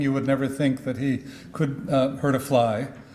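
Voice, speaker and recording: A fairly high-pitched man with an American accent at a moderate pace, with audible room echo. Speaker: history professor and author. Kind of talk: conference speech. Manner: halting, many fillers.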